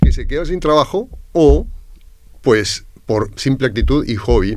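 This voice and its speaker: Speaking at a fairly slow pace in a Peruvian accent, a man with a medium pitch uses lively intonation and some vocal fry. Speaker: university lecturer and entrepreneur. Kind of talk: podcast interview. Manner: hesitant, many fillers.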